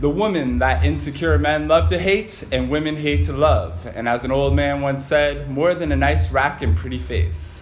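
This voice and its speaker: Very wide pitch swings with hardly any pauses, over noticeable background noise. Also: man, very deep, low pitch for a man, moderate pace. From New England. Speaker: podcast co-host. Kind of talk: casual banter.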